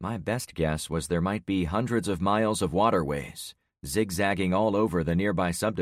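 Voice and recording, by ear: Reading aloud in a natural voice, ordinary pitch variation, and a quiet background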